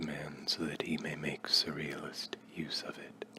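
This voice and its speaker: A man is whispering at a fairly slow pace. Noticeable background noise sits behind him. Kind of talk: ASMR reading. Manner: soft-spoken.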